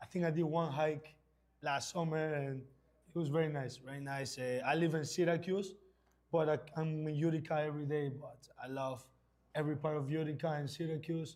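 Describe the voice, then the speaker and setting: A man with a Spanish accent talks at a fairly quick pace with a fairly high pitch. His intonation is flat and monotone, with audible room echo. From Ecuador. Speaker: indoor soccer player. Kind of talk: halftime interview.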